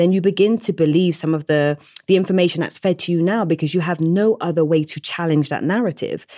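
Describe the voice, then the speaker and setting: On a very clean recording with a silent background and a dry, close sound with no echo, a woman with a Bristol accent talks at a fairly quick pace, her fairly low voice dark and mellow with ordinary pitch variation. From Bristol, south-west England. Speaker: teacher and TEDx speaker. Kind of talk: interview.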